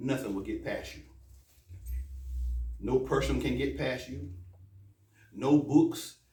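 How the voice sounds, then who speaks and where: There is audible room echo as a man speaks with an American accent. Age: 60s. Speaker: imam. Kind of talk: sermon. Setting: mosque. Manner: animated.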